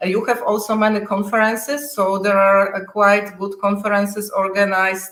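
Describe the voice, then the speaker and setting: The speaker is a woman with monotone, flat intonation. She barely pauses. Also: medium pitch for a woman, moderate pace. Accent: Polish. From Poland. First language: Polish. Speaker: software test manager. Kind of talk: interview. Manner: halting.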